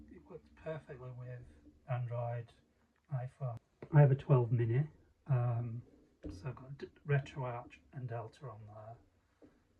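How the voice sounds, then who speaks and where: A man talks fairly slowly at a medium pitch, with fairly even intonation and long, frequent pauses. His voice is somewhat breathy with a dark, mellow tone, and its loudness swings widely. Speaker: hobbyist maker. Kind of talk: casual talk to camera, gadget demo. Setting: home recording, poor sound. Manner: hesitant, casual.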